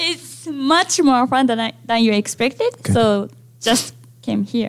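A woman with a Japanese accent, speaking at a fairly slow pace. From Japan, Sapporo. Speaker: international student. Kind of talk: casual interview.

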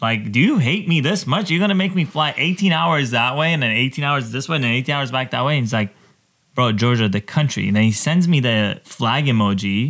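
A man with an unremarkable speaking voice talks at a fairly quick pace, medium in pitch and lively in intonation. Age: 30s. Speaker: DJ. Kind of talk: casual chat.

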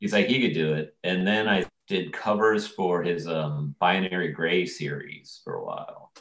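In an American accent, a man speaks with a very deep, low pitch. He barely pauses. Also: ordinary pitch variation, moderate pace. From US, rural Maryland. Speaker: comic book artist. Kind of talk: casual interview.

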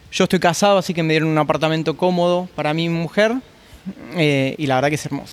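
A man talks very fast with a Buenos Aires accent. His pitch is fairly high and his intonation fairly even. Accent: Rioplatense Spanish (Buenos Aires). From Argentina, Buenos Aires. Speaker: chef. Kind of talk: interview. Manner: hesitant, repeats words.

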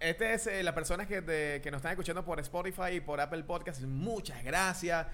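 With a Venezuelan accent and a bright, sharp tone, the speaker moves at a fairly quick pace with hardly any pauses and ordinary pitch variation. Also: man, high pitch for a man. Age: 30s. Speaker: podcast co-host. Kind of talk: casual chat.

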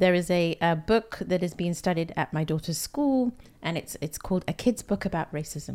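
In a London accent, a woman speaks at a moderate pace with a fairly low pitch and ordinary pitch variation. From London, UK. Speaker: podcast host. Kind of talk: casual interview chat.

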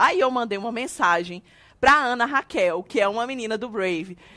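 In a very clean recording with a silent background, a woman speaks at a fairly quick pace with a fairly high pitch. She has a normal speaking voice and lively intonation. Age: 30s. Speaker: podcast host, church minister. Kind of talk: casual chat.

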